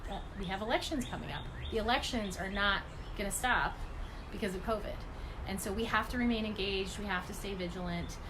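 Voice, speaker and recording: With audible room echo and noticeable background noise, a woman at medium pitch speaks at a fairly quick pace. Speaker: environmental advocacy group director. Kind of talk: livestream update and appeal. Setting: live video stream from home. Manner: fast.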